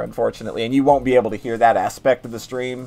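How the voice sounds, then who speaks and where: Noticeable background noise sits under a very fast speaker with an American accent. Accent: slight Southern, reined in. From West Virginia. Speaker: gaming streamer. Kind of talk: casual chat. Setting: call with guest during live stream. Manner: animated.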